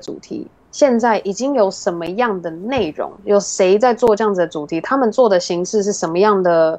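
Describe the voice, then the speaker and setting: Speaking at a fairly quick pace with hardly any pauses, a woman uses a medium-pitched voice with ordinary pitch variation. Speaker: podcast host and digital marketer. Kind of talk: interview.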